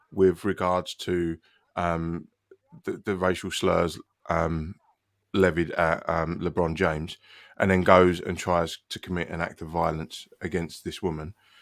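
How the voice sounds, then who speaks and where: In a very clean recording with a silent background, a man with a British accent speaks slowly-ish at a very deep, low pitch, the sound dry and close with no echo. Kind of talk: heated debate.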